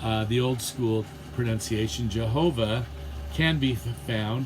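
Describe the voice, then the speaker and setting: A man talks at a fairly slow pace with a medium pitch, with audible room echo and noticeable background noise. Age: 60s. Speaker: theology teacher. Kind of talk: lecture. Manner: halting.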